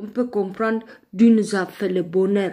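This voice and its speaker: The voice has a dark, mellow tone. It moves at a very slow pace. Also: woman. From Ethiopia. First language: Amharic (speaking French). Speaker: online live streamer. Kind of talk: religious testimony in a live video. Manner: halting, with fillers and repetitions.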